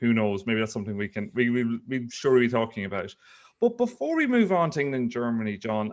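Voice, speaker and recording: Against a quiet background, a man with an Irish accent speaks at a very fast pace, with medium pitch and ordinary pitch variation. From Ireland. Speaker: investigative journalist. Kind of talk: casual chat.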